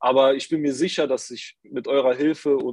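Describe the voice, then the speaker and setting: This man has an ordinary speaking voice, medium in pitch, at a moderate pace, with a dry, close sound and no echo. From Saarland, Germany (Saarbrücken). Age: 20s. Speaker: performance marketer, coaching participant. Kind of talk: interview, casual chat.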